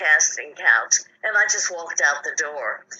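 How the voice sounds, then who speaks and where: A woman talks at a moderate speed. Behind her there is noticeable background noise. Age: 80s+. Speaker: film actress. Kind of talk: interview answer.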